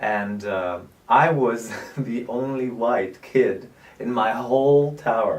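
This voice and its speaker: Audible room echo surrounds a man speaking very slowly at a medium pitch with ordinary pitch variation. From southern France, Nîmes. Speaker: actor, producer and director. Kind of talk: interview.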